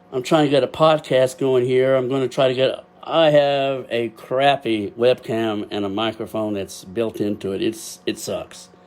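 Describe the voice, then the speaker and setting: This speaker has a Texas accent and a moderate pace. There are hardly any pauses. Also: man, medium pitch for a man, ordinary pitch variation. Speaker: amateur astrophotographer. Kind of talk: casual livestream talk. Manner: loud. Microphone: built-in webcam microphone.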